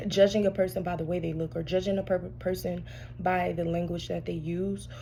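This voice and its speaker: An audible echo from the room surrounds the voice. It belongs to a woman. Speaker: tarot reader. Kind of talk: casual spiritual reading monologue. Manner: soft-spoken; halting, many fillers.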